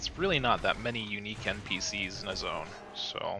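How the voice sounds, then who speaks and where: A man speaks quietly with music in the background. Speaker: gaming livestreamer. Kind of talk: casual livestream commentary. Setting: home, late at night. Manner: quiet, low volume; hesitant, filler-heavy.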